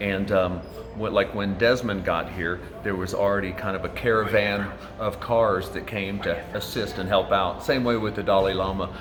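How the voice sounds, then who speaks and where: Flat and monotone, a man with an American accent speaks at a moderate pace in a fairly low pitch, with audible room echo and noticeable background noise. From US Midwest, rural southern Indiana. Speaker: hotel doorman. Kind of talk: interview. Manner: hesitant, many fillers.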